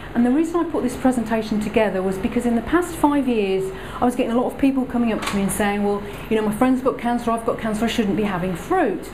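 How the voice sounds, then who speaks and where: Very fast female speech with noticeable noise in the background. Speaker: presenter. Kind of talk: lecture. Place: hall. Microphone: camera far.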